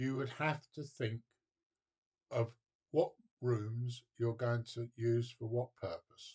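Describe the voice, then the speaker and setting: A man speaks very slowly in a somewhat breathy, monotone voice with flat intonation over a quiet background. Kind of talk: casual tutorial talk. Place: home room. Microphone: webcam.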